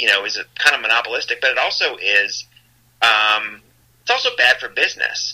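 A man with an American accent. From Iowa. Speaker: author and former newspaper reporter. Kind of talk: interview conversation. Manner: hesitant with fillers and repeats.

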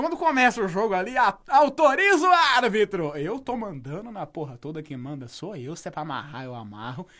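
The voice moves at a moderate pace with very wide pitch swings. Its loudness swings a lot as well. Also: man, high pitch for a man. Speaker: podcast host. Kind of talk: casual comedic chat. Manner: animated.

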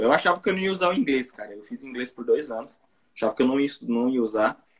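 Speaking very fast, a man uses a medium pitch. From interior of São Paulo state, Brazil. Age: 30s. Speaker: YouTuber, Brazilian immigrant in Japan. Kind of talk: casual live-stream interview.

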